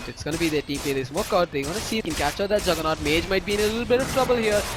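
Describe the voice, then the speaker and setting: A man with an animated tone and very wide pitch swings, music in the background. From South India, Chennai. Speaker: esports commentator. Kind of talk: live commentary. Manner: loud; fast, animated during fights.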